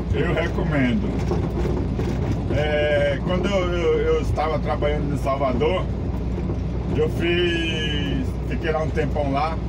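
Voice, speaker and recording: Through loud background noise, a man talks at a very slow pace. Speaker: truck driver vlogger. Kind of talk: casual vlog chat. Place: car. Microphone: phone near.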